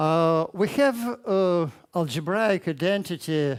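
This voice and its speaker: A man with a Russian accent speaks very slowly at a high pitch with ordinary pitch variation. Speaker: mathematics education researcher. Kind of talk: conference talk. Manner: halting, many fillers.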